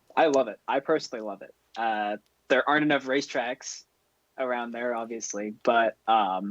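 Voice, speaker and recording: A man with an American accent at medium pitch, fairly even intonation and big swings in loudness, in a dry, close sound with no echo. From New York. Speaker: racing driver. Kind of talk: casual chat. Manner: fast.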